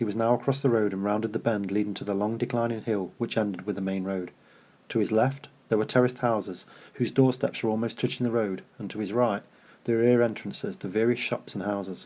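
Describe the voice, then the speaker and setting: This man talks at a fairly quick pace in a fairly low pitch, his tone dark and mellow and his intonation fairly even. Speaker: author reading own book. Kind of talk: reading aloud; casual intro. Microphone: cheap microphone.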